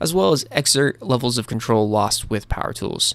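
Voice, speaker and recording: An ordinary speaking voice with an American accent, a fairly quick pace, and ordinary pitch variation. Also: man. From US. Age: 20s. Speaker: video essay YouTuber. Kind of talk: scripted narration.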